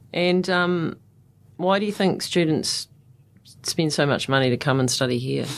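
A woman with a New Zealand accent speaks at a moderate pace in a very deep, low pitch, with ordinary pitch variation, very even loudness, and long, frequent pauses, on a very clean recording with a silent background. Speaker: advice centre manager, radio host. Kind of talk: radio interview. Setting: studio.

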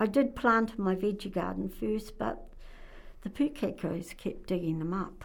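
A woman with a New Zealand accent speaks at a fairly slow pace and a medium pitch. Her intonation is lively, and there is vocal fry. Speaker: interviewee. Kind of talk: casual interview chat.

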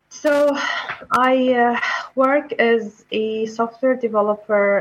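With an Arabic accent, a woman talks at a fairly high pitch with fairly even intonation. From Syria. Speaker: software developer. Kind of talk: interview. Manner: halting.

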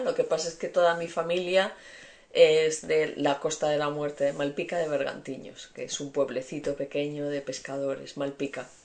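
A woman speaks with a very deep, low pitch. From Spain, Galicia. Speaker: guest. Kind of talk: casual chat.

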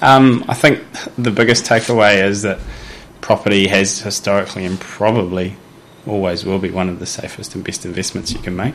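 Over noticeable background noise, a man with a New Zealand accent talks at a fairly quick pace. His pitch is fairly low and his intonation fairly even. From New Zealand, Wellington. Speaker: mortgage adviser. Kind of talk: interview.

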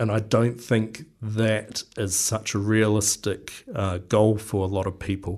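A man talks with a New Zealand accent. His pace is fairly slow, and the background is quiet. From New Zealand, Wellington. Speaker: local council candidate. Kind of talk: radio interview. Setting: radio studio. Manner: halting, many fillers.

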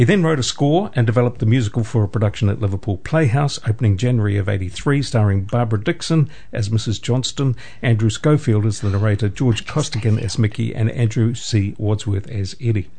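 A man speaks at a fairly quick pace with hardly any pauses, at a medium pitch with ordinary pitch variation. His tone is dark and mellow, and somewhat breathy. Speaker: community radio co-host. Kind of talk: casual chat. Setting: studio.

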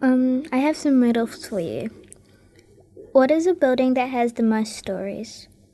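A woman's high-pitched voice with a dark, mellow tone, at a fairly slow pace with long, frequent pauses and ordinary pitch variation. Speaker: radio host. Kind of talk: interview hosting. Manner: upbeat, friendly.

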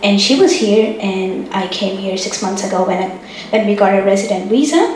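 Noticeable background noise runs under this recording. The woman speaking uses ordinary pitch variation. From India. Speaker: youth council member. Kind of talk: public talk. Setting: cafe with live audience.

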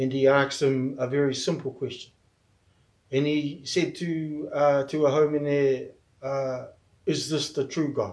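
The delivery is monotone and flat, at a fairly slow pace. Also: man, fairly high pitch for a man. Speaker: community speaker on Māori history and faith. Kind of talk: talk on history and religion. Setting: radio studio. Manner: halting, many fillers.

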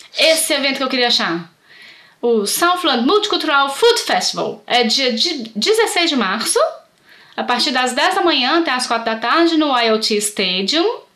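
A woman speaks in a raised, projected voice at a high pitch, her pitch swinging very widely while her loudness stays very even and her pace fairly slow. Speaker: community radio co-host. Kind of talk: casual chat. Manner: animated, laughing often.

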